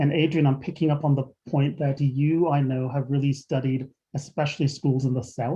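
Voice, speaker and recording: In a flat, monotone delivery, a man speaks with a fairly high, somewhat breathy voice. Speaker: webinar host. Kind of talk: moderated panel discussion. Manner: fast.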